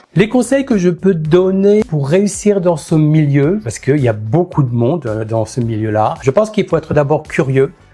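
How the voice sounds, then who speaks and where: Music plays in the background as a man speaks with hardly any pauses. His pitch swings very widely. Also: moderate pace. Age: 60s. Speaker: makeup artist. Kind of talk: interview monologue.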